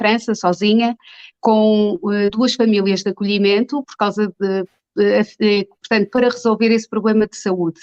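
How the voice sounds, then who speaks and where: At a moderate pace, a woman of medium pitch uses a normal speaking voice with fairly even intonation. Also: dry, close sound with no echo. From Portugal, Margem Sul (Almada), born in Angola. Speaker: dentist. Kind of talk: interview.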